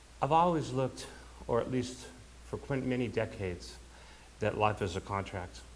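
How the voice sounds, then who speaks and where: The speech carries vocal fry. Room echo is audible around it. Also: man. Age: 60s. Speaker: bereaved son giving eulogy. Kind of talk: eulogy. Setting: funeral service. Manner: halting.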